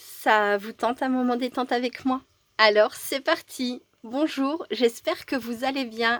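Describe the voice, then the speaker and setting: Very slow speech with ordinary pitch variation comes through in a dry, close sound with no echo. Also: woman, high pitch for a woman. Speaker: crafter. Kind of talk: casual craft tutorial to camera.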